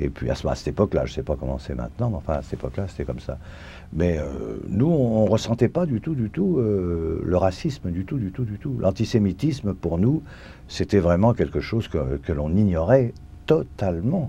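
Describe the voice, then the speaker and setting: A man's very deep, low pitch with vocal fry, a dark, mellow tone, very wide pitch swings and a moderate pace. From France, Paris. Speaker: Holocaust survivor. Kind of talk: testimony. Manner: halting, many hesitations.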